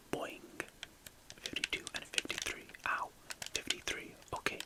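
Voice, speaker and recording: Over clearly audible background noise, the speaker whispers at a moderate pace. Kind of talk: casual gameplay commentary to camera, ASMR gaming video. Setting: indoors, recording gameplay commentary.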